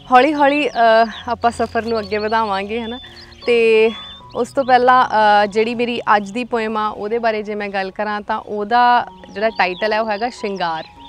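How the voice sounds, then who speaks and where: Music plays in the background of a dry recording with no echo. A woman speaks at a fairly high pitch with fairly even intonation. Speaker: poet. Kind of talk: casual talk to camera. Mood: warm, gentle, expressive. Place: forest.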